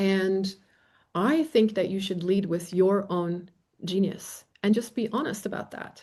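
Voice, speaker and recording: A woman's medium-pitched, dark, mellow voice with a non-native accent, ordinary pitch variation and a fairly slow pace. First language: not English. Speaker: facilitator and trainer. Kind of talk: live Q&A. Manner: casual, animated.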